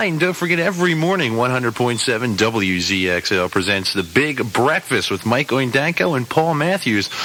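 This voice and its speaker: A man at medium pitch and moderate pace, with very wide pitch swings, very even loudness and hardly any pauses, amid noticeable background noise. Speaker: radio DJ. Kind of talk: radio DJ air check, rock station. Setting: radio broadcast.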